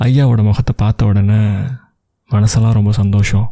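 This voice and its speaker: This man has a fairly low, dark, mellow voice, somewhat breathy and calm in tone. His intonation is monotone and flat, and the sound is dry and close with no echo. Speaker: radio jockey, storyteller. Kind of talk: emotional audio story narration. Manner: calm, conversational storytelling.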